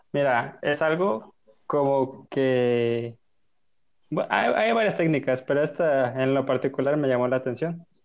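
An ordinary speaking voice comes at a fairly slow pace. It has ordinary pitch variation and very even loudness. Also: man, medium pitch for a man. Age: 20s. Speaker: podcast guest. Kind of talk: casual chat.

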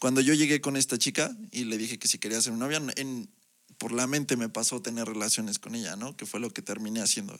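A man speaks at a very fast pace with a medium pitch. The recording is very clean and the background silent. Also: ordinary pitch variation. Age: 20s. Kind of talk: testimony. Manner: halting, with frequent repetitions.

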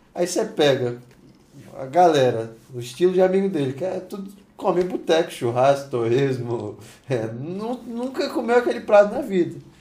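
Over noticeable background noise, a man with a high pitch talks at a moderate pace, making very wide pitch swings. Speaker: podcast co-host. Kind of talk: casual chat.

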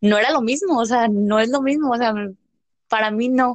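A woman with a plain, everyday voice, fairly high in pitch, at a fairly quick pace. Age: 20s. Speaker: business administration graduate, small business owner. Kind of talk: casual chat.

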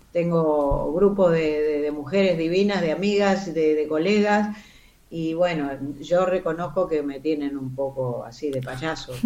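Very deep and low, a woman's voice moves at a fairly slow pace with ordinary pitch variation. Noticeable background noise and audible room echo come through. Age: 70s. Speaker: actress. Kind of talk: casual interview.

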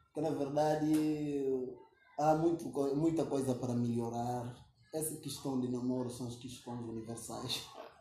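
A man speaks at a fairly slow pace with a medium pitch and fairly even intonation. Noticeable background noise and audible room echo are present. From Guinea-Bissau. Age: 20s. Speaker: youth activist. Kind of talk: interview conversation.

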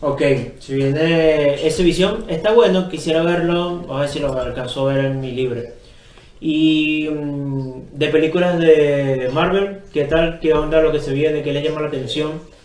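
A man's fairly high, fairly even voice at a fairly slow pace, with audible room echo and noticeable background noise. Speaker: podcast co-host. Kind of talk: casual chat.

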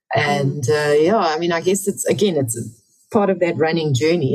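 Music plays in the background as a woman speaks in a very deep, low voice with ordinary pitch variation. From England. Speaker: author and ultramarathon runner. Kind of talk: interview.

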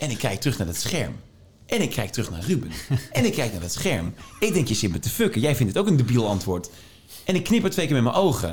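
Somewhat breathy, a man talks at a very fast pace with a medium pitch and very wide pitch swings. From Netherlands, Tilburg (North Brabant). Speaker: radio DJ. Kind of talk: interview conversation. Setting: meeting room.

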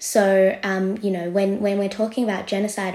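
A woman with an Australian accent speaks in a monotone, flat intonation. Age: 20s. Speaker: journalist. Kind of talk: interview.

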